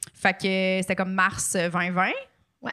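A voice with a Quebec accent in a very clean recording with a silent background. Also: woman. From Quebec City. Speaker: comedian and podcaster. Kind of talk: casual chat. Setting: studio.

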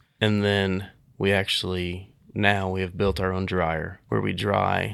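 A man with an American accent speaks at a very deep, low pitch in a very clean recording with a silent background. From Kansas, Nickerson / Hutchinson area. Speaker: CBD business owner, hemp farmer. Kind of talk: interview.

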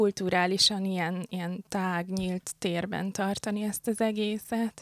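The delivery is fairly slow with fairly even intonation, captured as a very clean recording with a silent background and a dry, close sound with no echo. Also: woman. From Hungary, born in Pécs, international family. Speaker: graphic artist. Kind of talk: casual interview chat. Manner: hesitant, thoughtful.

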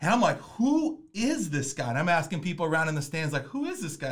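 Somewhat breathy, a man with an American accent talks at a fairly quick pace with lively intonation. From Minnesota. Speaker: podcast host and basketball coach. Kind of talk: casual chat. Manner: fast; animated.

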